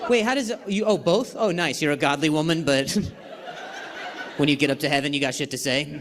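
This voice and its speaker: A man at a fairly quick pace with lively intonation, long, frequent pauses, and noticeable background noise. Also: fairly high pitch for a man. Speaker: stand-up comedian. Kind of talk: stand-up crowd work. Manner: stutters.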